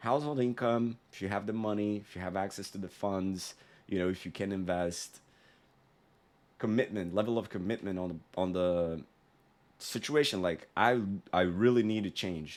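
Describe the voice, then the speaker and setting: With a non-native accent, a man talks in a fairly low pitch with ordinary pitch variation and long, frequent pauses. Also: moderate pace. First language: not English. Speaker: sales consultant. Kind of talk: tutorial. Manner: casual, conversational with fillers.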